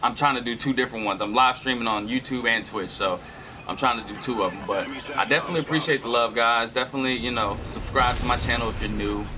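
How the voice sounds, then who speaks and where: Over music in the background, a man talks very fast in an animated tone at a medium pitch. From California. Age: 30s. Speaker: gaming streamer. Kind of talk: casual live-stream storytelling. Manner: casual, filler-heavy; animated bursts during gameplay.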